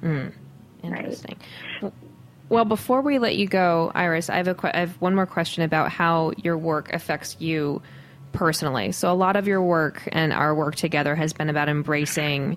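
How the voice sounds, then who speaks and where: Her voice is a normal speaking voice, fairly low in pitch for a woman. She speaks at a moderate pace with ordinary pitch variation. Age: 30s. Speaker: podcast co-host and food writer. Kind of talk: casual chat.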